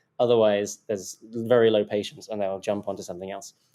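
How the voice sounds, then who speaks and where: A man speaks with a British accent at a medium pitch. His tone is dark and mellow on a very clean recording with a silent background. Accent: fairly central British. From southern England, home counties. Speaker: tech company CEO. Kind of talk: podcast interview. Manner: hesitant, many fillers and repeats.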